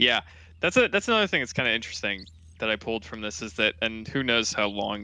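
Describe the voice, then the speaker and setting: A man's mumbling, fairly low-pitched voice with a bright, sharp tone against a quiet background. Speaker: gaming podcast host. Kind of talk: casual chat. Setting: live watch-along.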